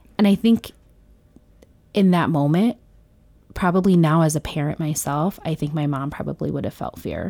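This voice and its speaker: Speaking at a fairly quick pace, a woman with an American accent has a very deep, low pitch, a dark, mellow tone and ordinary pitch variation. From Bronx, New York. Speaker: podcast host. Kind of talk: polished, professional "customer service" voice. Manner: articulate, conversational, frequent "right?" tags.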